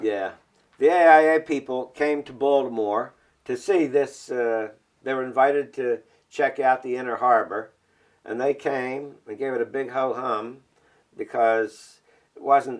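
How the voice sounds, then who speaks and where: The speaker goes at a fairly slow pace with long, frequent pauses. Intonation stays fairly even while the loudness swings widely. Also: man, medium pitch for a man. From Baltimore, Maryland. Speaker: architectural historian. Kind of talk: oral history interview answer. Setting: at home.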